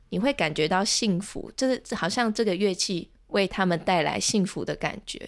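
This woman talks at a moderate pace with hardly any pauses, her medium pitch showing ordinary variation. The recording is very clean with a silent background. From Taiwan, Chiayi. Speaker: ocarina teacher and graduate student. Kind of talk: interview conversation. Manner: hesitant, many filler sounds.

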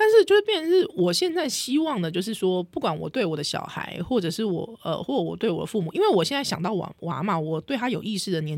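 A woman talks very fast with hardly any pauses, her medium-pitched voice swinging very widely in pitch over noticeable background noise. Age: 30s. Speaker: podcast host. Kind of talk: casual chat.

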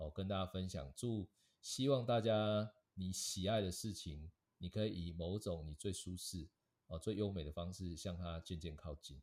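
The speech comes at a fairly slow pace, with a dry, close sound with no echo in a very clean recording with a silent background. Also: man. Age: 40s. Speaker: advertising director. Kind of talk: interview.

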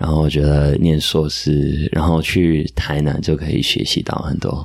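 Speaking at a fairly slow pace, a man with a very deep, low pitch has a Taiwanese accent. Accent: near-native Taiwanese Mandarin. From US (Michigan, then New Jersey), Indian-American family. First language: English (speaking Chinese). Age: 20s. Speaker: podcast guest, Chinese learner and editor. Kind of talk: casual chat.

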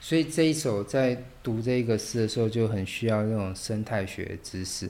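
A man with a plain, everyday voice talks at a fairly slow pace, in a medium pitch with ordinary pitch variation. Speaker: podcast host and literature teacher. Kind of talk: casual interview.

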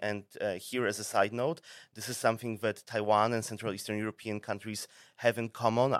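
In a very clean recording with a silent background and a dry, close sound with no echo, a man with a Polish accent talks at a fairly quick pace in a medium pitch with fairly even intonation. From Poland. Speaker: think tank office head. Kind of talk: podcast interview.

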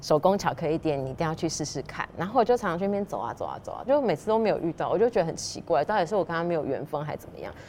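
A woman with a fairly low pitch and a dark, mellow tone talks at a very fast pace with hardly any pauses, her lively intonation, big swings in loudness and vocal fry all coming through. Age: 40s. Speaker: pastry chef and shop owner. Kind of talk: interview storytelling. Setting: in a dessert shop.

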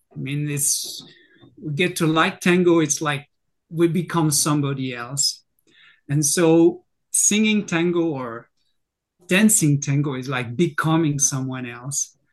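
A man with a French accent talks at a fairly slow pace, leaving long, frequent pauses. His pitch is fairly high with ordinary variation, against a quiet background. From France. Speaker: singer and university lecturer. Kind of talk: casual chat.

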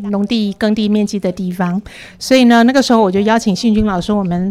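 The woman's voice sits fairly high, and her intonation is fairly even. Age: 50s. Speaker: community college tour-guide teacher. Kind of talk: casual chat.

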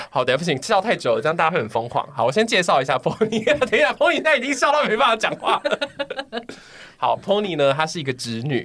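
A man talks at a very fast pace in a high voice with very wide pitch swings. Noticeable background noise runs underneath. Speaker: podcast host. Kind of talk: casual chat.

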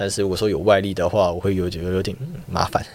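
Vocal fry runs through a man's fairly low voice, which shows ordinary pitch variation. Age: young. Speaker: university student. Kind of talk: interview.

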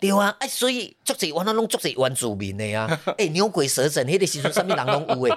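An animated man with a high pitch talks at a fairly quick pace with hardly any pauses, making very wide pitch swings. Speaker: theatre director. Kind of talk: casual interview chat.

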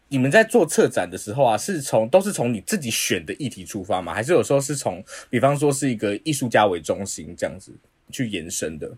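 A man talks at a fairly quick pace and medium pitch with vocal fry, very wide pitch swings and big swings in loudness. The recording is very clean with a silent background. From Taiwan, Taipei. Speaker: podcast host. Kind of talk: casual interview.

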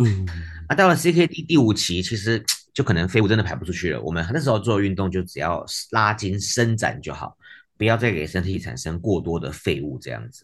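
A man with fairly low pitch and vocal fry talks at a fairly quick pace. His pitch swings very widely, and his loudness rises and falls sharply. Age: 40s. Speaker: physical therapist and kidney patient. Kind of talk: interview conversation.

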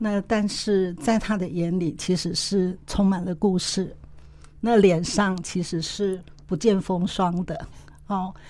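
A woman's dark, mellow, medium-pitched voice at a very slow pace with fairly even intonation. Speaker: co-host, women's forum executive. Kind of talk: interview conversation.

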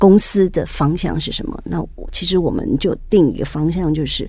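The pace is fairly slow. Noticeable background noise and audible room echo fill the recording. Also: woman. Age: 60s. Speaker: businesswoman, wife of a service club district governor. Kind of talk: interview.

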